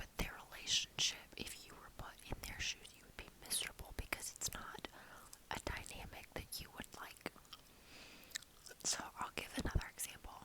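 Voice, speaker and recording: A woman whispering at a moderate pace, with big swings in loudness and noticeable background noise. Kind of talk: ASMR whisper ramble. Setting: studio, close microphone with gum chewing and mouth noises. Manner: whispered, soft, casual.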